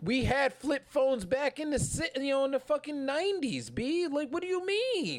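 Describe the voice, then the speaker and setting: In a New York accent, a man talks at a moderate pace with an animated tone and lively intonation. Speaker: podcast host. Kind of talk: casual chat. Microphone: poor audio.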